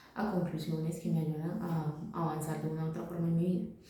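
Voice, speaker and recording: Noticeable background noise surrounds a woman's voice. There is audible room echo too. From Colombia, Santa Fe de Antioquia. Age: 20s. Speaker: vlogger. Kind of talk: personal monologue. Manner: halting, many fillers.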